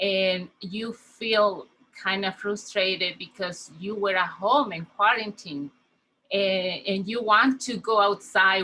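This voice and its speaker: A woman with a Spanish accent, at a fairly slow pace and with fairly even intonation. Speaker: community health worker. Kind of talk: conference welcome speech. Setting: virtual conference.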